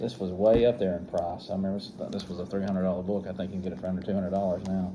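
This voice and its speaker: Here a man speaks in an Alabama accent. His pitch is fairly low. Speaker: comic book collector, YouTuber. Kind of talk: casual show-and-tell video.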